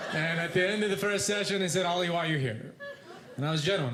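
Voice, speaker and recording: Audible room echo surrounds a man's speech. Noticeable background noise is present too. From Yemen. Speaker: stand-up comedian. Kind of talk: stand-up. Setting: stage with audience. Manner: mumbling.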